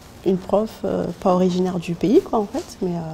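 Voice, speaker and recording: A woman speaking in a medium pitch moves at a fairly quick pace, with noticeable background noise behind her. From France. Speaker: language student. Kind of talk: interview answer. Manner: hesitant, many fillers.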